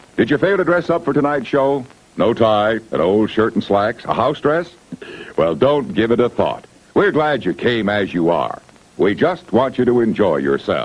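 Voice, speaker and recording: A man's medium-pitched voice at a moderate pace, very wide pitch swings, very even loudness, and noticeable background noise. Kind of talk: vintage drive-in welcome announcement. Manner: cheerful, friendly.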